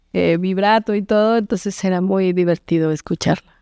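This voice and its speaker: A woman's dark, mellow voice at medium pitch with fairly even intonation, dry and close with no echo, on a very clean recording with a silent background. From Oaxaca, Mexico. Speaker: singer-songwriter and actress. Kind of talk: interview answer.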